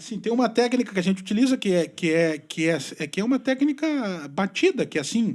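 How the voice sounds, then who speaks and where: A man with a high-pitched voice and a southern Brazilian accent, very fast pace, very wide pitch swings, very clean recording with a silent background. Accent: southern Brazilian (gaúcho) Portuguese. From Brazil, Rio Grande do Sul (western border). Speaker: journalist. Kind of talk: podcast interview.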